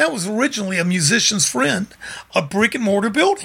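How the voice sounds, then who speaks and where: Over noticeable background noise, a man with a Memphis accent speaks in a raised, projected, high voice with an animated tone. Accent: Southern US, Memphis. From Memphis, Tennessee. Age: 60s. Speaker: music store owner and musician. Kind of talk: casual interview storytelling. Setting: studio. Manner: charismatic, animated storyteller.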